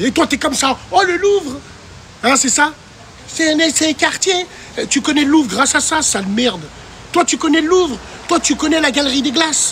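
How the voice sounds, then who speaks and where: Over noticeable background noise, a man speaks loudly at a moderate pace with lively intonation. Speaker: TikTok live streamer. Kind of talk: casual live stream chat reading viewer comments. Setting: livestream. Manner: animated.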